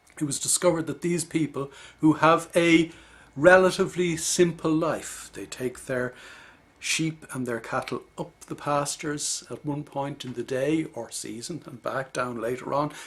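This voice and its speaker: Big swings in loudness mark this man's speech, delivered in an Irish accent at a moderate pace with fairly high pitch and ordinary pitch variation. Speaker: leadership coach. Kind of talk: video lecture. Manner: measured, explanatory.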